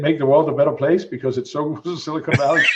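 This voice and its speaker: This man's voice is somewhat breathy. It has a fairly high pitch. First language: not English. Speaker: executive protection entrepreneur. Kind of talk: casual interview chat.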